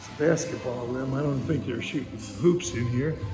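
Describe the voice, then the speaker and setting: A man's voice over clear background music. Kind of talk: casual vlog tour commentary. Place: bar. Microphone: phone near.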